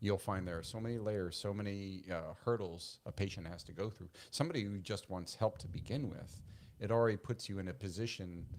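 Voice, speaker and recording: A normal speaking voice from a man with an American accent, fairly low in pitch, with ordinary pitch variation and a fairly quick pace, in a very clean recording with a silent background. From Brooklyn, New York. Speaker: physician and podcast host. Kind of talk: interview conversation. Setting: studio.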